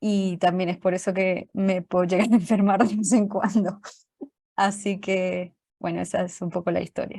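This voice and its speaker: A woman of medium pitch has a somewhat breathy, dark, mellow tone and a monotone, flat intonation. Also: moderate pace. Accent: Colombian. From Colombia. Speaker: programming teacher. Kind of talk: online class lecture.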